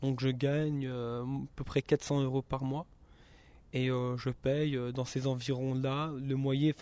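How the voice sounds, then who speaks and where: A man's dark, mellow voice at a medium pitch, very slow pace and monotone, flat intonation, on a very clean recording with a silent background. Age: 20s. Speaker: resident of a youth social housing residence, student. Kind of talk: interview testimony.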